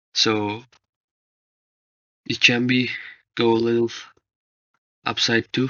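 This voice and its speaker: A man with a non-native accent speaks at a very slow pace in a medium pitch, his intonation monotone and flat, with long, frequent pauses. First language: not English. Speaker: forex trading analyst. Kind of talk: tutorial. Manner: halting.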